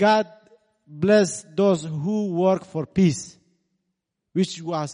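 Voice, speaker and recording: In a strong Iranian accent, the speaker goes at a very slow pace with long, frequent pauses. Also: man, high pitch for a man, ordinary pitch variation. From Kurdistan region of Iran. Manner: halting, searching for words.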